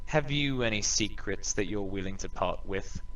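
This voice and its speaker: A man puts on a character voice at medium pitch and a moderate pace. Clear background noise runs behind him. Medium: actual play. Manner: sarcastic, theatrical.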